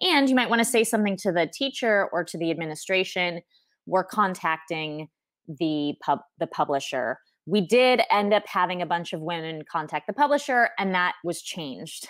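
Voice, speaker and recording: Speaking at a moderate pace with an American accent, this is a normal speaking voice with lively intonation on a very clean recording with a silent background. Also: woman, medium pitch for a woman. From US, Southern California. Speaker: guest, expat mother. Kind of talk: casual interview.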